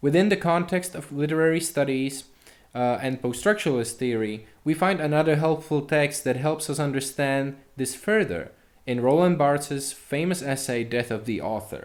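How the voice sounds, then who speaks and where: A fairly high-pitched man at a moderate pace, with ordinary pitch variation and audible room echo. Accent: non-native. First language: not English. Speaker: university lecturer. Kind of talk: lecture. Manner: formal.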